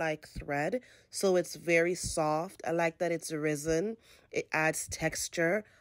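Fairly low female voice at a very slow pace, fairly even in intonation, against a quiet background. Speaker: home decor vlogger. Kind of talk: casual home tour narration. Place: home room. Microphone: phone near.

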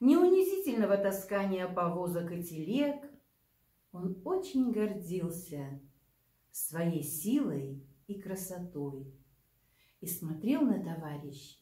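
Against a quiet background with audible room echo, a woman speaks at a very slow pace with very wide pitch swings, big swings in loudness and long, frequent pauses. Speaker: librarian or storyteller. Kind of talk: reading a fable aloud. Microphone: camera far.

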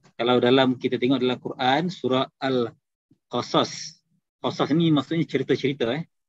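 The speech moves at a moderate pace with fairly even intonation. The sound is dry with no echo, over a quiet background. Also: man. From Kedah, Malaysia. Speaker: takaful agency director; presenter. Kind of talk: business talk. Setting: video call. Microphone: video call.

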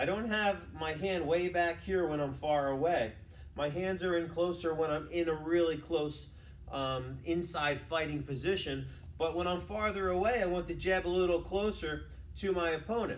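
A man's high-pitched voice over light background noise. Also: fairly even intonation, moderate pace. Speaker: boxing coach. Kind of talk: tutorial. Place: gym. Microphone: camera far.

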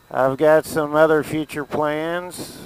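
A man's voice, dry with no echo. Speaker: motorcycle rider vlogger. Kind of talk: casual vlog chat. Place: motorbike.

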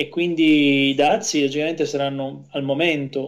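A man speaks with a fairly high pitch. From Salerno, southern Italy. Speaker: wine importer and sommelier. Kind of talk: radio interview.

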